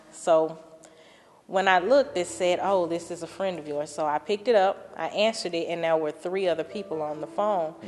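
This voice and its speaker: With a Southern US accent, a woman speaks at a fairly quick pace. Her pitch is fairly low and varies in an ordinary way. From Louisiana, Minden. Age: 20s. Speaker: testimony speaker. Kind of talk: testimony.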